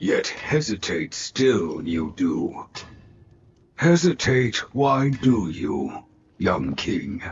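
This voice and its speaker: Putting on a character voice, a man speaks at medium pitch and a very slow pace. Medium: video game. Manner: inverted word order, measured.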